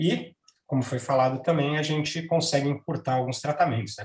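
Somewhat breathy, a man's fairly high voice moves at a moderate pace with ordinary pitch variation. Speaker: radiation oncologist. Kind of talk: professional panel discussion.

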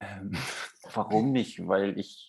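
It is an ordinary speaking voice, a man's at medium pitch with fairly even intonation. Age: 20s. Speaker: prop master, podcast guest. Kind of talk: casual chat.

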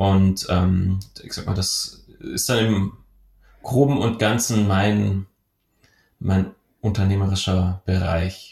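Somewhat breathy and fairly low-pitched, a man speaks at a very slow pace with long, frequent pauses and fairly even intonation, in a very clean recording with a silent background. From southwestern Germany (Rottweil, Baden-Württemberg). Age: 30s. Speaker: entrepreneur. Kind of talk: podcast interview. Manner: hesitant, frequent fillers.

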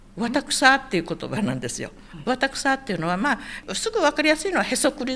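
Speaking very fast, a woman with a high pitch moves through very wide pitch swings. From Okinawa, Itoman. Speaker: Okinawan elder sharing local history. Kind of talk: interview, casual storytelling.

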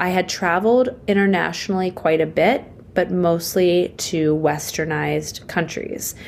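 A woman with an American accent at a moderate pace, ordinary pitch variation, and noticeable background noise. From Pittsburgh, Pennsylvania. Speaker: nonprofit founder. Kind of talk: interview. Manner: animated.

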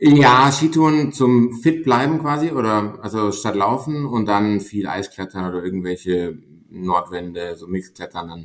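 Using a normal speaking voice, a man talks at a fairly slow pace and fairly low pitch, with big swings in loudness. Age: 30s. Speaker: mountaineer and management consultant. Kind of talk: podcast interview.

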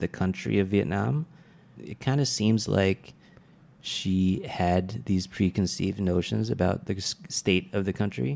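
A very deep, low male voice with a dark, mellow tone, a fairly slow pace, and a very clean recording with a silent background. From California, US (Vietnamese American). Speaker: stand-up comedian. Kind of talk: casual interview chat. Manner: casual, laughs often.

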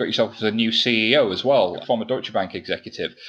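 At a fairly quick pace, a man talks in an unremarkable speaking voice at a medium pitch. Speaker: podcast host. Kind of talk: casual chat. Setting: studio.

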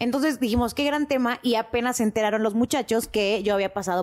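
Very clean recording, silent background, and a woman talking at a very fast pace. Her fairly high pitch carries lively intonation. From Mexico City. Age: 20s. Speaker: podcast production staff. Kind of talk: casual chat. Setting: studio.

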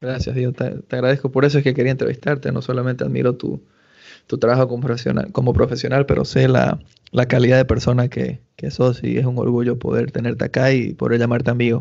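Very fast, monotone speech from a man at medium pitch, with flat intonation and vocal fry. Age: 30s. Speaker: podcast host. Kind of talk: casual interview.

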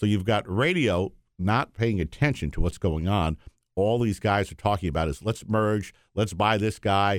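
A man with an American accent and an unremarkable speaking voice, fairly low in pitch, at a moderate pace, on a very clean recording with a silent background. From New York, Yonkers. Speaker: radio company executive. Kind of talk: interview conversation.

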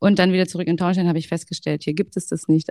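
In a very clean recording with a silent background, a woman speaks at a fairly low pitch in a dark, mellow tone, the sound dry and close with no echo. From Hesse, Germany. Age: 30s. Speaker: fitness instructor. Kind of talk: casual chat.

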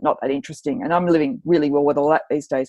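A woman speaks with an Australian accent over a quiet background, the sound dry and close with no echo. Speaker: journalist and author. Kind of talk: interview guest. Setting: remote recording. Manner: animated.

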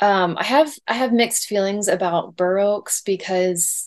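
A woman in an American accent, medium pitch, ordinary pitch variation, a normal speaking voice. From Indiana, US Midwest. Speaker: artist and illustrator. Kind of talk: casual interview.

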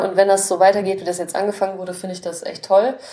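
A woman at a medium pitch. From Germany, Krefeld (Lower Rhine). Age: 20s. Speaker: writer and editor. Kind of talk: casual interview.

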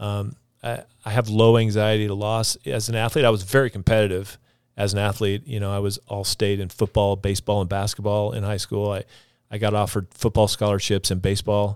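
A man's fairly quick, monotone delivery with flat intonation at a fairly low pitch, in a very clean recording with a silent background. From Idaho, moved from Texas at ten. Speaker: physical therapist and clinic business owner. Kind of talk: casual interview. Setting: studio.

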